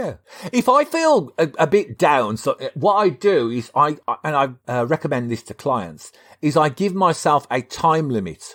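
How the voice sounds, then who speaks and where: On a very clean recording with a silent background and a dry, close sound with no echo, a man speaks at a moderate pace in a fairly high pitch with very wide pitch swings. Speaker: psychologist and podcast co-host. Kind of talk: casual podcast chat. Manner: halting, stammers at times.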